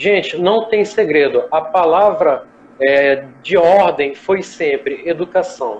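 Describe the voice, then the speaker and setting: A man with a high pitch and lively intonation. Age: 20s. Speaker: chef and gastronomy professor. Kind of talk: live online interview. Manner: casual, conversational.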